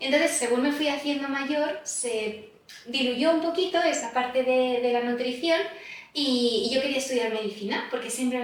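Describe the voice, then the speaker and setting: Amid audible room echo, a woman speaks with a high pitch at a moderate pace. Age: 30s. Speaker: nutritionist. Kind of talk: podcast interview.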